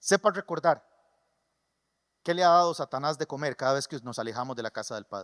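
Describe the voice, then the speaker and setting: In a very clean recording with a silent background and a dry, close sound with no echo, a man with a Costa Rican creole accent speaks at a fairly quick pace in a fairly high voice, his tone animated and his intonation lively, with big swings in loudness and long, frequent pauses. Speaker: pastor. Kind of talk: sermon. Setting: church.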